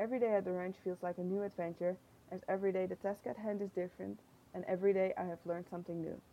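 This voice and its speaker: A very fast pace with a Dutch accent, a dark, mellow tone and fairly even intonation. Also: woman, medium pitch for a woman. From Netherlands. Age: 20s. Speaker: tourism intern. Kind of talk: reading aloud.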